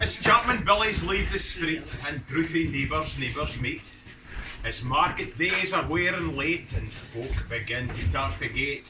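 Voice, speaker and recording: Music runs in the background as a man with a Scottish accent talks at a fairly slow pace. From Scotland. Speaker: fiddler. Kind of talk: poetry reading. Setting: pub.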